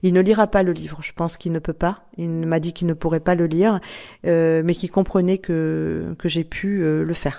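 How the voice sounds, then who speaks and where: A dark, mellow voice speaks in a monotone, flat way at a moderate pace on a very clean recording with a silent background. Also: woman, fairly low pitch for a woman. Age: 60s. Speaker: author, former radio host. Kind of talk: testimony.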